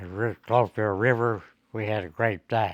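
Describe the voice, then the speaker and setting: A man with a fairly low pitch speaks in a Southern US accent. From Mississippi, USA. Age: 80s+. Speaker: WWII veteran. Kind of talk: interview answer.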